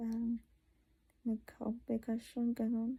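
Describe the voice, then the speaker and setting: Soft-spoken and fairly high-pitched, a woman talks at a fairly slow pace in a dark, mellow tone, with a dry, close sound and no echo. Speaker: vlogger. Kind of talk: personal video diary. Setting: at home.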